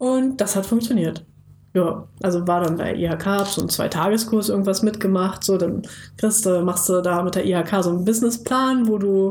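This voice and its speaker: A woman's medium-pitched voice at a moderate pace, with audible room echo. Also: ordinary pitch variation. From Lower Saxony, Germany (Bad Pyrmont near Hanover). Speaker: podcast co-host, marketing consultant. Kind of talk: casual interview.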